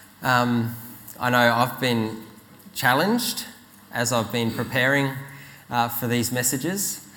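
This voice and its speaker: A man at a fairly slow pace, medium pitch and fairly even intonation, with noticeable background noise. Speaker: preacher. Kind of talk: sermon.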